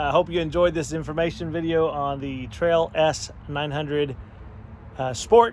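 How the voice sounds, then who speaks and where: A man is speaking. Music plays in the background. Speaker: pastor and vlogger. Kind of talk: video outro.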